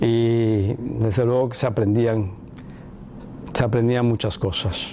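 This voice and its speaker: Noticeable background noise fills the recording. Over it, a man speaks at a fairly slow pace. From Cuba. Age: 60s. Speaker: son of a former head of state. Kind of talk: interview testimony. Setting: filmed interview.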